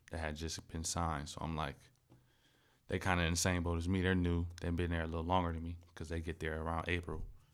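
A man with an American accent talks at a very fast pace in a very deep, low pitch. His intonation stays monotone and flat. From US Midwest, Akron, Ohio. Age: 20s. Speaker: professional football player. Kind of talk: casual chat.

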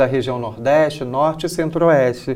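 Here a man is speaking. His pace is moderate. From Brazil, Rio de Janeiro. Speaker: religious community leader. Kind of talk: interview. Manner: halting.

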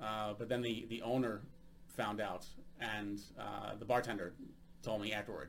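A man with an American accent has an ordinary speaking voice. His pitch is fairly low, and his pace is moderate. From United States. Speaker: podcast host and stand-up comedian. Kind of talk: casual interview chat.

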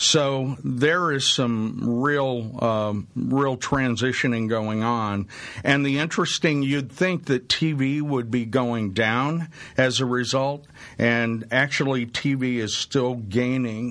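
The speaker is a man with ordinary pitch variation. He goes at a very slow pace. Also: medium pitch for a man. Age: 60s. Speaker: radio host. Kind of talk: talk radio interview. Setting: radio studio.

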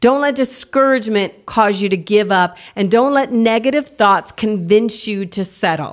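A woman with an ordinary speaking voice, fairly high pitch and ordinary pitch variation, at a moderate pace with hardly any pauses. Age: 50s. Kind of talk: casual faith chat and testimony.

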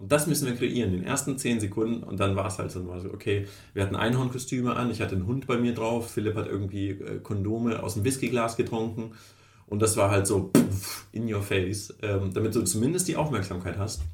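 There is audible room echo as a man with a fairly low pitch speaks at a fairly quick pace with ordinary pitch variation. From Kazakhstan, moved to Germany 1989 as a child. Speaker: startup founder. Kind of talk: interview. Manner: animated.

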